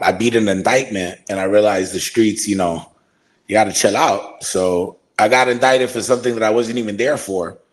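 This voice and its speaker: With an American accent and an unremarkable speaking voice, a man talks at a moderate pace in a fairly low pitch and fairly even intonation. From Brooklyn, New York. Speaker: wrestling ring announcer. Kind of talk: podcast interview answer. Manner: casual, profane.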